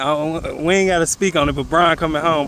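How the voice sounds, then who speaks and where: Through noticeable background noise, a man with an American accent speaks very fast at a high pitch in monotone, flat intonation. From Cleveland, Ohio. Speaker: interviewer. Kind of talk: interview.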